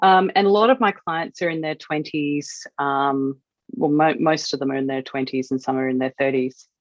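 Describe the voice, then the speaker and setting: A woman speaks in an Australian accent at a very deep, low pitch. She keeps a moderate pace with ordinary pitch variation. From Western Australia. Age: 40s. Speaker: wedding photographer. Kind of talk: podcast interview.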